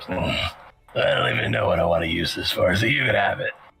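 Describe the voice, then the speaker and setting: A man's raspy, put-on character voice at a very fast pace. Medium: actual play. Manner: casual, offhand.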